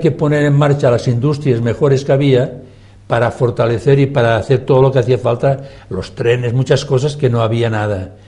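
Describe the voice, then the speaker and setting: Somewhat breathy, a man talks at medium pitch. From Catalonia, Spain. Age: 80s+. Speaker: former politician. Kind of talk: TV debate. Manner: animated.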